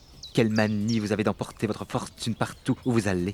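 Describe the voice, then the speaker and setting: Doing a put-on character voice, a man rumbles at a fairly low pitch and a fairly quick pace, sounding anxious, with monotone, flat intonation over clear background noise. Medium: read story. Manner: anxious, grumbling.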